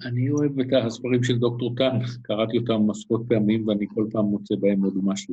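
This man has a medium pitch and fairly even intonation. He talks at a fairly quick pace with hardly any pauses and very even loudness. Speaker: acupuncturist. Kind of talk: interview. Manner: hesitant with frequent fillers.

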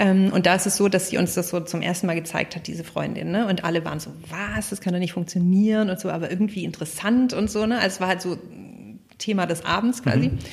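Against noticeable background noise, a woman talks at a very fast pace in a medium pitch with ordinary pitch variation. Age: 30s. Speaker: company founder. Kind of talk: interview.

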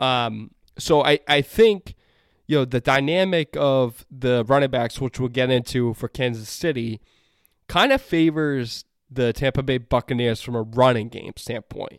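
A man speaks in a plain, everyday voice at a medium pitch with ordinary pitch variation. The pace is fairly slow and the sound is dry and close with no echo. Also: very clean recording, silent background. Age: 30s. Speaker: sports podcast host. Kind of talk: solo sports talk podcast.

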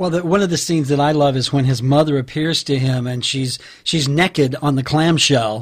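This man talks at a moderate pace, his pitch fairly high with ordinary variation. He has an ordinary speaking voice. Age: 50s. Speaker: podcast host. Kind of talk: interview.

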